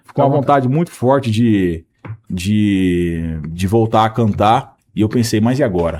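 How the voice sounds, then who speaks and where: A man speaks at medium pitch with lively intonation. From Maringá, Paraná, Brazil. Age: 30s. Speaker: country singer. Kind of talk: interview answer.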